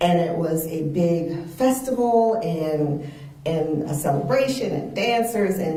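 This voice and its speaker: Speaking very slowly, a woman with a fairly low pitch uses lively intonation over noticeable background noise. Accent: American. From Charleston, South Carolina. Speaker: speech therapist. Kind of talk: interview answer.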